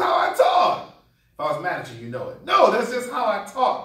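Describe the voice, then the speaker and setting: With an American accent, a man talks in an animated tone at an extremely high pitch for a man. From Connecticut. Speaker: keynote speaker. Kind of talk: motivational speech. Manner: loud.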